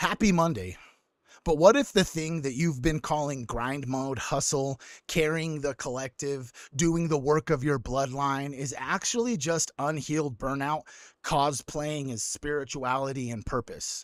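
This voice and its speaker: On a very clean recording with a silent background, a man with a fairly high pitch and ordinary pitch variation talks at a fairly slow pace in an ordinary speaking voice. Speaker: livestream host. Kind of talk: livestream motivational talk. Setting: live stream.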